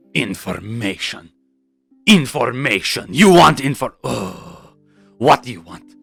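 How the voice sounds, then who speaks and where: Using a put-on character voice, a man with a medium pitch speaks at a fairly slow pace with very wide pitch swings, faint music playing in the background. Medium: actual play. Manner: curt, dismissive.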